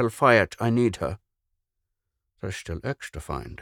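Putting on a character voice, a man speaks slowly at a fairly low pitch with big pitch swings, vocal fry and a fairly bright tone, in a dry, close sound with no echo on a very clean recording with a silent background.

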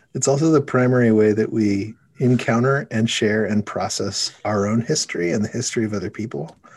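Using a normal speaking voice, a man talks at a fairly quick pace at a medium pitch with ordinary pitch variation. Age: 40s. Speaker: podcast host. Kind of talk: casual interview.

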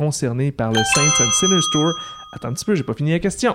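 A man speaks with a Quebec accent. His intonation is lively. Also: very clean recording, silent background. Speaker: podcast host and quiz master. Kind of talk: casual quiz show.

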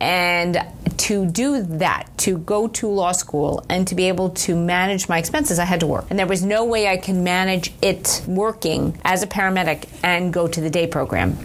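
Speaking with an American accent, a woman uses a normal speaking voice at a fairly low pitch with fairly even intonation. Her loudness stays very even and she hardly pauses. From Long Island, New York. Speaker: medical malpractice lawyer. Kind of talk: interview.

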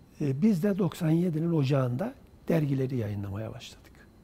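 A man's fairly high, somewhat breathy voice at a fairly slow pace. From Central Anatolia, Turkey (rural Kırşehir). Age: 70s. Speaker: writer and literary publisher. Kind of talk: oral history interview.

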